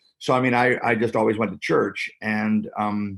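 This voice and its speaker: With a Canadian accent, a man speaks at a moderate pace in a fairly low pitch, his intonation monotone and flat. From Canada (Ontario). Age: 60s. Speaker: pastor. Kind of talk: interview.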